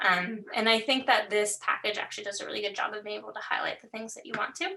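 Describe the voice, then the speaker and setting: A woman speaks at a very fast pace in a fairly high pitch, her loudness swinging widely. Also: ordinary pitch variation. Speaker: workshop instructor. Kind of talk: tutorial.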